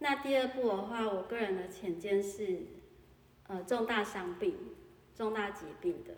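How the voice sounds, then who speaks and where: Over noticeable background noise, a woman speaks at a medium pitch and a fairly slow pace. Her intonation is lively. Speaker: insurance sales agent. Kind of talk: interview.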